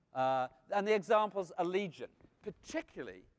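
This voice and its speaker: In a Welsh accent, a man speaks with lively intonation. The sound is dry and close, with no echo. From Wales. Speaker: food marketing speaker. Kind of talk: conference talk.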